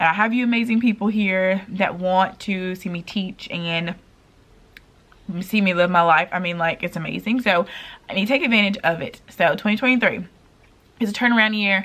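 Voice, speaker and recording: A woman's medium-pitched voice at a moderate pace, with long, frequent pauses. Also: ordinary pitch variation. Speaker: pre-k teacher and vlogger. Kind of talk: casual vlog talk. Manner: loud.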